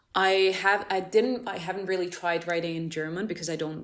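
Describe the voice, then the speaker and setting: A woman speaks at a medium pitch. There is audible room echo. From Cyprus. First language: Greek. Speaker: musician. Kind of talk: casual interview. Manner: halting.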